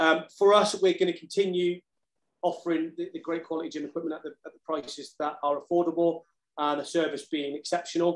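Over a quiet background, a man talks at a fairly quick pace. His high voice holds a monotone, flat intonation. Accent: southern English. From England, Cheltenham; England. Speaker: ex-marine, fitness equipment business owner; podcast guest. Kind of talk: casual interview. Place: home room. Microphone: video call.

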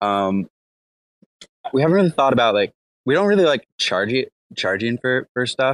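Fairly quick pace, with a dry, close sound and no echo. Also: man. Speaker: DAO software developer. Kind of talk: casual chat. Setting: online audio room.

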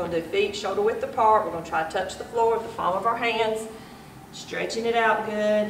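In a room with audible echo and light background noise, a woman speaks at a fairly quick pace with fairly even intonation. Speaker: fitness instructor. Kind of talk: workout instruction. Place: gym. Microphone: camera far.

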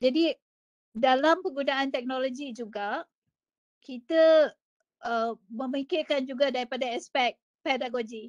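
Over a quiet background, a woman speaks at a high pitch and fairly slow pace with ordinary pitch variation and long, frequent pauses. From Malaysia. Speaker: educator, Apple learning specialist; webinar presenter. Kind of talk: webinar presentation. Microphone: video call.

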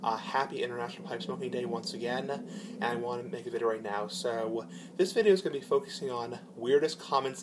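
A man speaks at a fairly quick pace. Noticeable background noise runs behind him. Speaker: vlogger. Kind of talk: casual vlog chat. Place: garage. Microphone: phone near.

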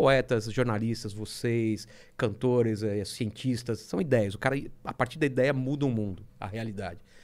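This man's delivery comes at a medium tempo. The melody of his speech holds fairly level. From Brazil. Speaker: comic artist. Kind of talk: casual chat. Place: studio. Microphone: studio mic.

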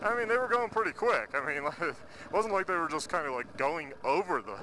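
Heard with light background noise and a dry sound with no echo, a man speaks with very wide pitch swings. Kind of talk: casual vlog chat. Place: motorbike. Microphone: helmet.

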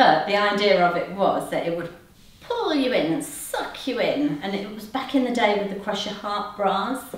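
With an East Midlands accent, a woman speaks at medium pitch amid audible room echo. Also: moderate pace. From England, Nottingham; England. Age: 50s. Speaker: fashion influencer. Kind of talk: try-on review vlog; casual vlog chat. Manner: chatty, hesitant with frequent ums. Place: home room. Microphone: camera far.

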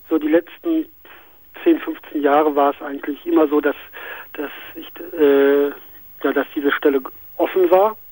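Slowish and with long, frequent pauses, a man with a fairly high pitch speaks in a monotone, flat way while his loudness swings widely. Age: 40s. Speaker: caller.

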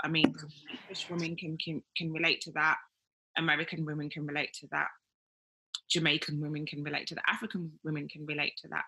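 With a Birmingham accent, a woman speaks very fast in a very deep, low pitch and a monotone, flat intonation, broken by long, frequent pauses. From Birmingham, England. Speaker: interviewer, women's wellness podcaster. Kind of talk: interview. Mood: earnest, reflective. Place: home room. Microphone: video call.

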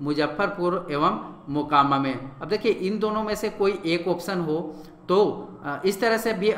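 There is audible room echo and noticeable background noise. A man with a high pitch speaks at a moderate pace with ordinary pitch variation. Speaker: online exam-prep teacher. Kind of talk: lecture. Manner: halting.

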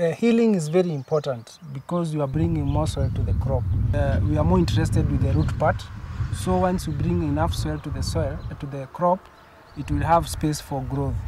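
Talking at a fairly quick pace, a man sounds dry with no echo against noticeable background noise. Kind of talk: interview answer. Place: farm machine.

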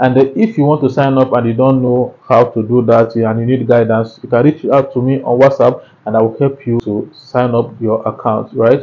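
At a moderate pace and with hardly any pauses, a man talks at a medium pitch in a monotone, flat intonation. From Nigeria. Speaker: YouTube tutorial creator. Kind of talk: tutorial. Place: home room. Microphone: lapel.

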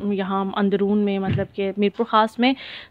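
A woman's voice at a medium pitch. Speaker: travel vlogger. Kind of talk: vlog narration.

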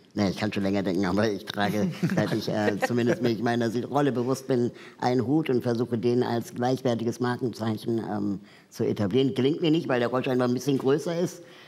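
His tone is dark and mellow, with ordinary pitch variation. The man speaks at a fairly quick pace. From Peru. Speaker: talk show guest. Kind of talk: casual talk show chat. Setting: studio with audience. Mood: cheerful, animated. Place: studio.

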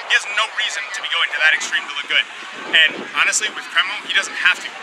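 A man speaks very quickly with ordinary pitch movement while loud noise fills the background. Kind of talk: interview answer. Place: street. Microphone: lapel.

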